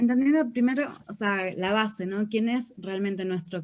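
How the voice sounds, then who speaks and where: In a Uruguayan accent, a woman speaks at a medium pitch with ordinary pitch variation. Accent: Uruguayan accent retained. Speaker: real estate marketing mentor. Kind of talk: interview.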